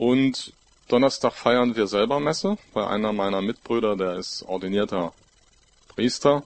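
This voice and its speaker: Using an unremarkable speaking voice, a man talks at a medium pitch and a fairly slow pace. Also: ordinary pitch variation. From Görlitz, Saxony (eastern Germany). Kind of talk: panel discussion.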